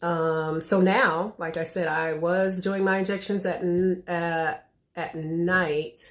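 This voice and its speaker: A woman speaks at a very slow pace with a fairly low pitch. Her intonation is monotone and flat. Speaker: vlogger sharing weight loss progress. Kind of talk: casual vlog update.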